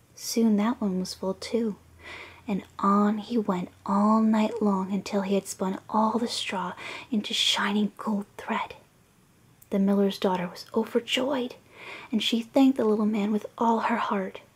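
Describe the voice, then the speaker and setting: A soft-spoken woman whispers at a fairly slow pace. Noticeable background noise is present. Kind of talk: storybook reading for relaxation. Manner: soft-spoken, whispery.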